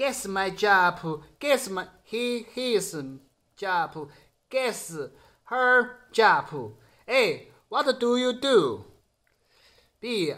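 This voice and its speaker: In a Sichuan accent, a man speaks at a very slow pace with long, frequent pauses over a quiet background. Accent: Sichuan Mandarin-accented English. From Chengdu, Sichuan, China. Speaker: security guard and YouTuber. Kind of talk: casual video blog. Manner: halting, simple English with pauses. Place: home room. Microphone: phone near.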